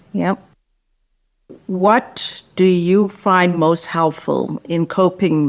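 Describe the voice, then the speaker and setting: This woman has a normal speaking voice, pitched fairly low. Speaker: podcast host. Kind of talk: interview questions.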